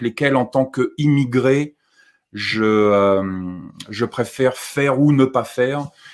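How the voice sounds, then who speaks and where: Here a man talks with fairly even intonation. The background is quiet. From France. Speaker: survivalist YouTuber; guest. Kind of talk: live-stream discussion. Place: home room.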